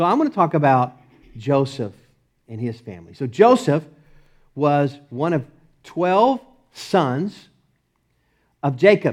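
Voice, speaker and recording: A man with a Texas accent, fairly high-pitched and fairly slow, with very wide pitch swings, long, frequent pauses and a quiet background. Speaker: preacher. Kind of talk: sermon.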